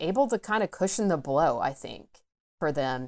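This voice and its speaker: In a very clean recording with a silent background and a dry, close sound free of echo, a woman talks at a fairly slow pace with an American accent. She has an ordinary speaking voice, pitched fairly low. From US South, Atlanta suburbs. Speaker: coming-out advocate and podcaster. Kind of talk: interview, personal story.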